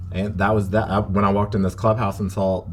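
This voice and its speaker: A man with a Southern US accent. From US South. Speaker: drag performer. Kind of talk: interview.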